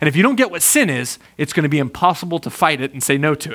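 The voice moves at a fairly quick pace with very wide pitch swings. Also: man. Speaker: guest preacher. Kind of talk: sermon. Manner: animated.

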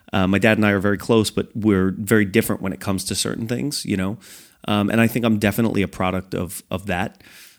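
A man speaks very fast in a fairly low pitch with fairly even intonation, in a very clean recording against a silent background. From upstate New York. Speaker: entertainment company owner and podcast host. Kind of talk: casual chat. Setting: studio. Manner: fast talker.

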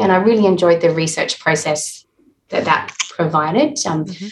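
A woman with an Australian accent, fairly low in pitch, somewhat breathy, at a moderate pace. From Adelaide, South Australia. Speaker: health psychology professor. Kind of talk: interview.

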